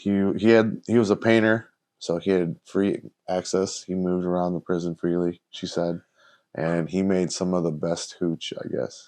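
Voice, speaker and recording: With a Chicago accent, a man speaks at a very deep, low pitch in a dark, mellow tone. His intonation is fairly even, and the background is quiet. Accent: Chicago American English. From Chicago, US Midwest. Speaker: podcast co-host. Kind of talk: casual chat.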